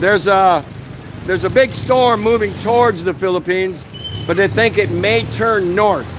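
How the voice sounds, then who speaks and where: An American accent with ordinary pitch variation, against noticeable background noise. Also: man. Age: 60s. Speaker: vlogger. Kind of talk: live stream chat. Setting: outdoors, street. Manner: casual, conversational.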